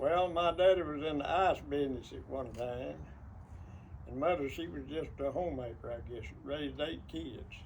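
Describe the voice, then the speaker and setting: A man speaks at a moderate pace with an East Texas accent. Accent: East Texas Southern. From rural East Texas. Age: 80s+. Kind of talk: interview answer.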